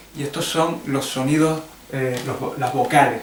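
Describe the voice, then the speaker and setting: With audible room echo and noticeable background noise, a man speaks in a fairly high voice at a fairly slow pace, with fairly even intonation. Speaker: English teacher. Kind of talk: tutorial. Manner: halting.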